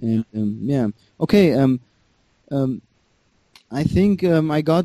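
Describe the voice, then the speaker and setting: A man speaks at a very slow pace in a dark, mellow tone. The sound is dry and close, with no echo. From Germany, of Iranian parents. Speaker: caller. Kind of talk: call-in advice conversation. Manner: halting.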